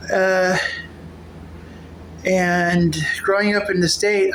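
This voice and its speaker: Recorded with noticeable background noise and audible room echo, a woman speaks at medium pitch. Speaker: vlogger. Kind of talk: casual vlog monologue. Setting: at home cooking. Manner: halting; slurred at times.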